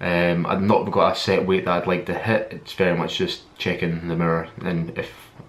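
A man's very deep, low voice with a Scottish accent and monotone, flat intonation, over light background noise. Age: 20s. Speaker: fitness vlogger. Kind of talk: vlog monologue. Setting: filming alone to camera. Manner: halting, many fillers. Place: home room. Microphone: webcam.

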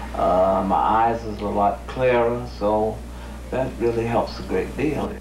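Very slowly, a man speaks amid light background noise and audible room echo. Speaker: dieting man interviewed on news. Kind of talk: interview answer. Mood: calm, positive. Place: home room. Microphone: handheld.

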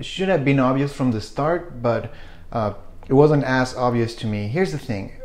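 The speaker is a man with a Spanish accent. He moves at a fairly quick pace. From Chile. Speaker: photography YouTuber. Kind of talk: casual vlog talk to camera. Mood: reflective, relaxed. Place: kitchen.

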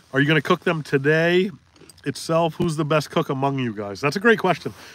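Fairly high in pitch, a man speaks at a fairly quick pace with lively intonation in a dry sound with no echo. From Maine, US. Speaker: fishing livestream host. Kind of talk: casual livestream chat. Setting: in a boat on a lake. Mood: relaxed, friendly. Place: boat. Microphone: phone near.

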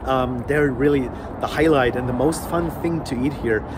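Noticeable background noise sits behind the speaker. A man talks with ordinary pitch variation. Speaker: food vlogger. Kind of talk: casual vlog chat, food review. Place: street. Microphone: phone near.

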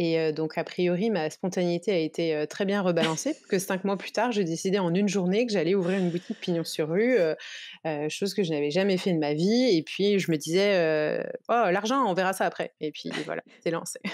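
A woman's fairly low voice at a fairly quick pace, ordinary pitch variation and a quiet background. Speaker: shop owner and entrepreneur. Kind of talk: casual interview.

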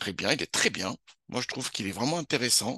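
Against a quiet background, a man at medium pitch speaks in a bright, sharp tone with very wide pitch swings, the sound dry and close with no echo. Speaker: university lecturer. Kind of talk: lecture. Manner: fast.

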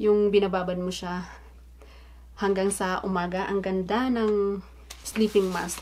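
A woman speaks at a medium pitch with a dark, mellow tone. Her intonation stays monotone and flat. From Philippines. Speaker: vlogger; beauty vlogger. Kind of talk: unboxing vlog. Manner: casual, frequent fillers and self-corrections.

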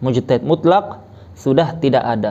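Pitch rises and falls in a normal way. The delivery is rather slow. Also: man. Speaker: religious teacher. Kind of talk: lecture. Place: home room. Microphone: lapel.

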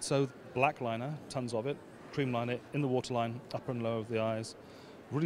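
A man speaks with fairly even intonation. The sound is dry with no echo, though there is noticeable background noise. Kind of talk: interview answer. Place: hall. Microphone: handheld.

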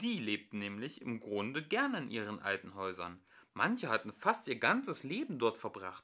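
Keeping a moderate pace, a man speaks in a bright, sharp tone with very wide pitch swings. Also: fairly low pitch for a man.

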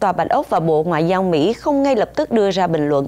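This woman's voice has a dark, mellow tone. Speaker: news anchor. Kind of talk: news reading. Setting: studio. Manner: formal.

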